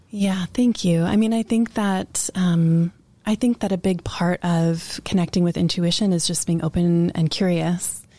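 A woman's somewhat breathy, dark and mellow voice, fairly low in pitch, with an American accent, a fairly slow pace, hardly any pauses, fairly even intonation and very even loudness, in a dry, close sound with no echo on a very clean recording with a silent background. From rural Virginia. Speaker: midwife and healer. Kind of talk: casual interview. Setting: studio.

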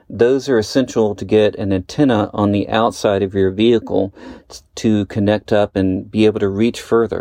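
Moderately paced speech with fairly even intonation, dry and close with no echo, and music in the background. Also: man, fairly low pitch for a man. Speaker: listener contributor, developer. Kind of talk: recorded listener story.

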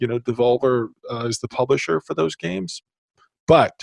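A man speaks at a moderate pace with ordinary pitch variation in an ordinary speaking voice, the sound dry and close with no echo. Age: 50s. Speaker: podcast host. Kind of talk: casual interview.

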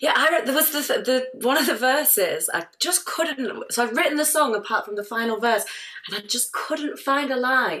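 Over noticeable background noise, a woman with a high-pitched voice projects at a moderate pace, her intonation lively. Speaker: musician in a band. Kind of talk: casual interview.

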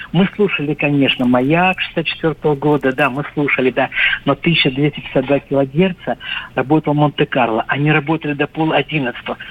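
This man has an ordinary speaking voice, fairly high in pitch, with ordinary pitch variation, very even loudness and a moderate pace. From North Caucasus, Russia. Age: 60s. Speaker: caller. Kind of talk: casual reminiscence. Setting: phone call.

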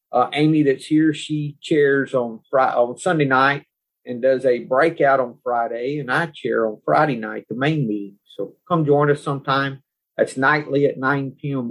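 At a moderate pace, a man with a fairly high pitch speaks in a normal speaking voice with fairly even intonation. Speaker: podcast host. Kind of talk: group discussion of recovery and Taoist text.

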